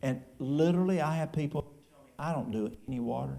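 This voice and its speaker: A man with an East Tennessee accent has a somewhat breathy, dark, mellow tone at a fairly high pitch. His intonation is lively. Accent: East Tennessee Appalachian. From East Tennessee, Appalachia. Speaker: church elder and health food store owner. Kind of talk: question and answer session. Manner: casual, folksy.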